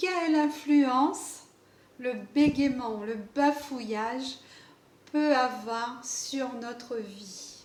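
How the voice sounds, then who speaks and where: Very slowly, a woman speaks at a high pitch. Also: ordinary pitch variation. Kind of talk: casual talk to camera. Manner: stuttering, hesitant.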